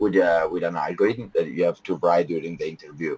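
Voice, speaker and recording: A man with an Italian accent talks with fairly even intonation in a dry, close sound with no echo. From Italy. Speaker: software team leader. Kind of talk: interview. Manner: halting, many fillers.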